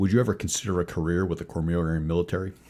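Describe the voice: A man's gruff, put-on character voice, very deep and low in pitch, at a very fast pace with fairly even intonation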